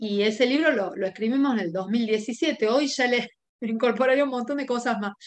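The voice has ordinary pitch variation and keeps to a moderate pace. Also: woman, high pitch for a woman. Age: 50s. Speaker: homeopathic doctor. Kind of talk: expert interview.

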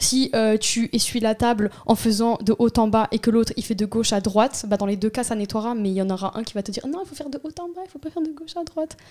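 A woman's fairly high, very fast voice with lively intonation, big swings in loudness and hardly any pauses. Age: 20s. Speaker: communications student. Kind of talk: casual chat.

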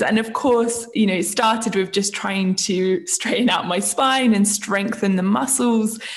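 Somewhat breathy and medium in pitch, a woman with a southern English accent talks at a moderate pace with ordinary pitch variation. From England, Isle of Wight. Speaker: yoga teacher and baker. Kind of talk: casual chat.

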